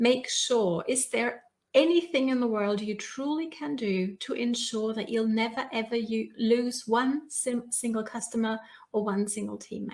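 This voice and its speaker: A woman talks at a fairly slow pace. Her pitch is fairly high, with ordinary variation. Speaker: business coach. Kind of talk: live stream talk. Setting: live video broadcast. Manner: animated.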